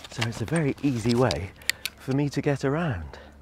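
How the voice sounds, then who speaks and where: A man speaks with vocal fry. The sound is dry, with no echo. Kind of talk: casual guided walk vlog. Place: waterside. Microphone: lapel.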